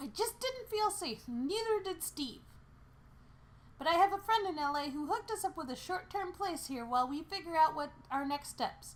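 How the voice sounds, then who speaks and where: A put-on character voice comes through at an extremely high pitch and a moderate pace. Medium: read story. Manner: energetic, persuasive.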